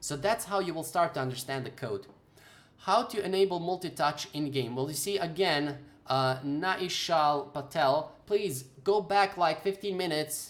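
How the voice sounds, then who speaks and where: At a moderate pace, a man talks with a non-native accent. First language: not English. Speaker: game development tutor. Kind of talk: live stream Q&A. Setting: live stream. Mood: earnest, advising. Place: home room. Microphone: webcam.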